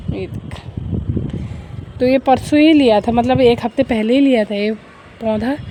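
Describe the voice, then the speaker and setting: A woman talks at a moderate pace with ordinary pitch variation while noticeable background noise plays. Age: 20s. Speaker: vlogger. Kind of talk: casual vlog talk. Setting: outdoors on a walk.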